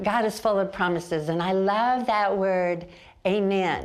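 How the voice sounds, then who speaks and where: At a very slow pace, a woman talks in a medium pitch. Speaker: Bible teacher. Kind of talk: TV Bible teaching.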